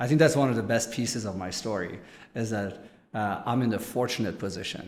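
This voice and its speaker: At a fairly quick pace and medium pitch, a man talks with ordinary pitch variation amid audible room echo. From Germany. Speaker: business executive. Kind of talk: interview.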